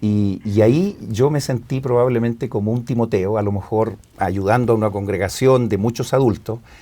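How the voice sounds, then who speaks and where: A man speaks with a Chilean accent at a medium pitch. His tone is dark and mellow. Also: moderate pace. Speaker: guest on religious scripture program. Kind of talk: casual religious discussion.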